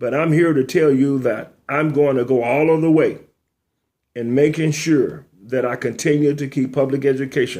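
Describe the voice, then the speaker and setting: A man talks at a moderate pace. His voice is fairly high, with ordinary pitch variation. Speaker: retired school administrator and author hosting a talk show. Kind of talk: monologue talk show. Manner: animated.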